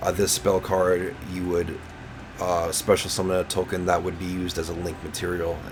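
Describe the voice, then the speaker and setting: Over noticeable background noise, a man speaks at a moderate pace in a very deep, low pitch with monotone, flat intonation. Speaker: gaming youtuber. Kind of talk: tutorial. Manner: halting, many fillers and repeats.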